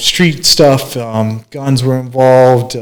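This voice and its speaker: A man speaks with an American accent. His pitch sits at a medium level. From US Midwest, small-town Kansas and Minnesota. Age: 40s. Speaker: barber and motivational speaker. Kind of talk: interview, life story. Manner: relaxed, hesitant with many fillers.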